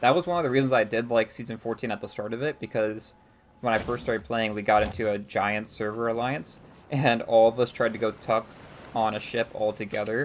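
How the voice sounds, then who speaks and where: With an American accent, a man speaks in a plain, everyday voice at medium pitch, at a fairly quick pace with ordinary pitch variation. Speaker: gaming streamer. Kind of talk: live gameplay stream chat. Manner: casual, many filler words.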